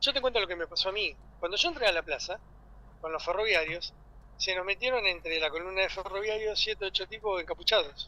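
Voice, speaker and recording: A high-pitched man with an Argentine accent speaks very fast in a raised, projected voice, with ordinary pitch variation. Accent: Rioplatense Argentine Spanish. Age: 60s. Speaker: union leader. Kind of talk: radio interview. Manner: animated.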